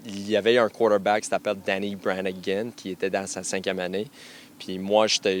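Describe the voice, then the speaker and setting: Monotone, flat intonation at a moderate pace. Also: man. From western Canada, anglophone family. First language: English (speaking French). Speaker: university football coach. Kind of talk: radio interview. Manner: halting, many fillers and repetitions.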